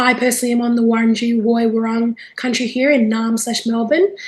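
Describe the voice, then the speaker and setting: Fairly quick and high-pitched, a woman speaks with an Australian accent. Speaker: webinar facilitator. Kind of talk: webinar introduction. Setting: video call.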